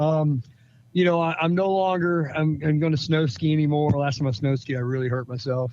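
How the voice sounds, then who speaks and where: An ordinary speaking voice from a man, fairly high in pitch, with ordinary pitch variation and a moderate pace. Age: 60s. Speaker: steel supplier in motorsport. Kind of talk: casual chat.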